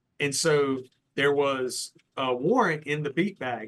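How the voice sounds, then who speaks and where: A man speaks in a bright, sharp tone at a fairly high pitch. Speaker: retired police lieutenant. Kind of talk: casual interview storytelling.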